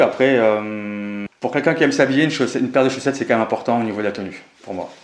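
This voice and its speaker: Amid noticeable background noise, a man talks at a very fast pace with ordinary pitch variation. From Pau, Pyrénées-Atlantiques, southwest France. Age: 30s. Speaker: entrepreneur. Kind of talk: interview. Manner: hesitant, many fillers.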